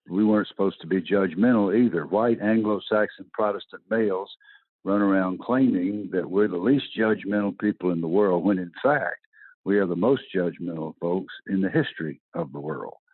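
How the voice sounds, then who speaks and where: Speaking with a Southern US accent, a man uses a fairly low pitch, ordinary pitch variation and a moderate pace. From US South. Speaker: retired football coach. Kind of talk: interview. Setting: podcast.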